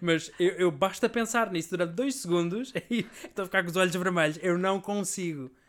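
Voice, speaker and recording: This man, high in pitch, moves at a moderate pace with hardly any pauses and ordinary pitch variation. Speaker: podcast co-host. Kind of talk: casual chat. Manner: animated.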